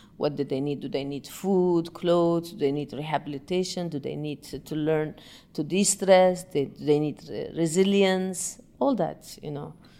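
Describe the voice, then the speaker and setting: Speaking at a moderate pace with hardly any pauses, a woman with an Arabic accent has a very deep, low pitch and a dark, mellow tone, with big swings in loudness and ordinary pitch variation. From Yemen. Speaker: breathing and meditation teacher. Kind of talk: interview.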